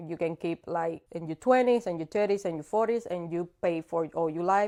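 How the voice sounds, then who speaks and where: In a Cuban accent, a voice with a dark, mellow tone speaks at a moderate pace with ordinary pitch variation, in a dry, close sound with no echo. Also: woman, fairly low pitch for a woman. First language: Spanish. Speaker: insurance broker. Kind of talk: casual interview.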